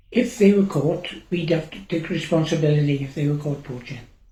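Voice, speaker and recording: A man with a fairly high pitch speaks at a moderate pace in a somewhat breathy voice, with audible room echo. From Wales, Gower. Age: 80s+. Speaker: farmer. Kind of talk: oral history interview.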